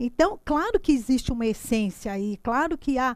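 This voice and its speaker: Lively intonation in a woman's high-pitched speech. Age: 60s. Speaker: teacher. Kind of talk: lecture. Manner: halting, frequent repetitions.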